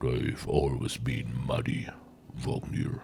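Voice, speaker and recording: Growling in a put-on character voice, a man drags out his words very slowly over light background noise. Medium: game stream.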